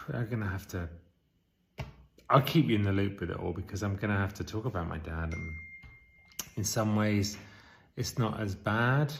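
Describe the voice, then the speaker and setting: A man's fairly low voice with an English accent at a moderate pace, ordinary pitch variation and long, frequent pauses, music playing in the background. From England. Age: 40s. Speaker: vlogger. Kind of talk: casual vlog.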